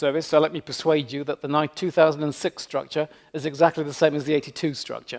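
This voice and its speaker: Speaking at a very fast pace with a British accent, a man uses a fairly high pitch. His intonation is fairly even. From Britain. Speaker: leadership professor. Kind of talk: keynote lecture. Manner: humorous deadpan asides.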